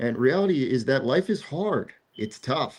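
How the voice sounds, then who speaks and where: With lively intonation, a man talks in a New Jersey accent. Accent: New Jersey American. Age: 40s. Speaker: talk show host. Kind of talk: casual chat. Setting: outdoors on the beach.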